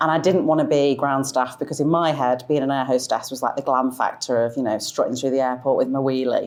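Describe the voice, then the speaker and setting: A woman with a Manchester accent talks at a fairly quick pace in a very deep, low pitch with fairly even intonation. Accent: Mancunian, kept after 20 years in the south. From Manchester, northern England. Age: 40s. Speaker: fashion influencer. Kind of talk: interview.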